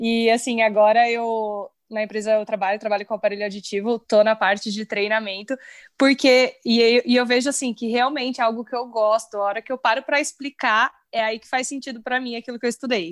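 A woman with a plain, everyday voice talks at a fairly quick pace and a fairly high pitch, with fairly even intonation and hardly any pauses, in a very clean recording with a silent background and a dry, close sound with no echo. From São Paulo, Brazil. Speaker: speech therapist, audiologist. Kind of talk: casual chat.

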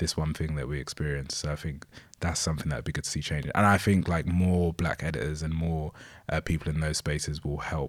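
A man with a London accent speaks at a fairly quick pace in a very deep, low pitch. His intonation is fairly even, and the recording is very clean with a silent background. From Bromley, south-east London, England. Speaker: music journalist and writer. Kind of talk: podcast interview, casual discussion.

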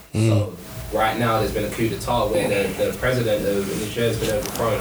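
A man speaks at a fairly low pitch and a fairly quick pace over noticeable background noise. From Jamaican heritage, UK. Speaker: podcast co-host. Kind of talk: casual chat.

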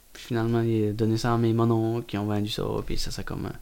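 A man at medium pitch with a dark, mellow tone, very fast and monotone, flat in intonation, in a very clean recording with a silent background. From Quebec, Gaspésie (Carleton). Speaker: oyster farmer. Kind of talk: casual chat. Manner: halting.

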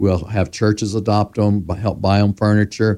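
A man's fairly low voice at a moderate pace, with monotone, flat intonation and dry, close sound with no echo. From US South, Memphis, Tennessee. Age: 60s. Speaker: community revitalization consultant. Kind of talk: interview.

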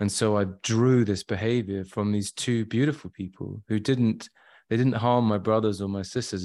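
Fairly even, fairly low-pitched male speech in a West Midlands accent at a moderate pace, on a very clean recording with a silent background. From England (Shropshire, Shrewsbury). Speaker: trauma work client. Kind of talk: testimony.

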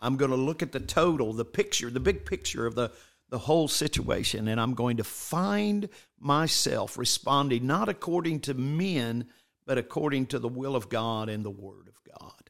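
A man talks at a moderate pace in a normal speaking voice, medium in pitch. His intonation is lively, and his loudness swings widely. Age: 60s. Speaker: bishop, church leader. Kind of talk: casual religious conversation. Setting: church office, streamed online.

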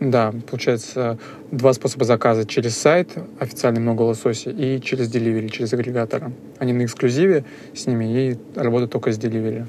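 Against noticeable background noise, a man speaks at a very fast pace with fairly even intonation. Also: medium pitch for a man. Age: 20s. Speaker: data analyst and dark kitchen owner. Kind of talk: interview. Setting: office. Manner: halting, many fillers.

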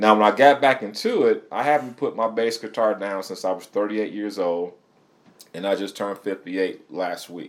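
With an American accent, a man talks at a moderate pace in a fairly low pitch, using ordinary pitch variation. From Michigan. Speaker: musician and DJ. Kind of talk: interview. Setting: studio.

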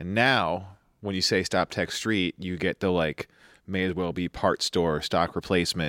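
On a very clean recording with a silent background and a dry, close sound with no echo, a man with an American accent and a very deep, low pitch speaks at a fairly slow pace in a bright, sharp tone with fairly even intonation. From New York. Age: 30s. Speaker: amateur rallycross driver. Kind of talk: casual chat.

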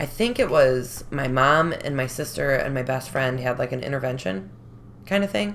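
A woman speaks with a Chicago accent. Her pitch is very deep and low. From Chicago, North Side. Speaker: recovering addict. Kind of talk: testimony.

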